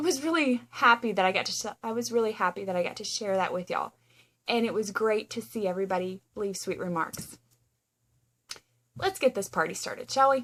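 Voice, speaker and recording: In a plain, everyday voice, a woman with a fairly high pitch speaks at a fairly quick pace with lively intonation. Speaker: knitting podcaster and yarn dyer. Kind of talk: casual chat. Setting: home guest room.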